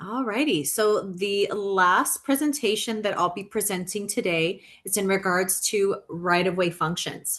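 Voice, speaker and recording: Speaking at a fairly slow pace with hardly any pauses, a woman uses an unremarkable speaking voice at medium pitch with ordinary pitch variation. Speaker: training presenter. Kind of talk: online training presentation.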